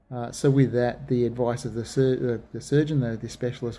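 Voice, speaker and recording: With an Australian accent, a man speaks fairly quickly in a dark, mellow tone at a medium pitch with fairly even intonation. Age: 40s. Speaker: vlogger sharing surgery experience. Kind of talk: personal video diary. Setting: hospital.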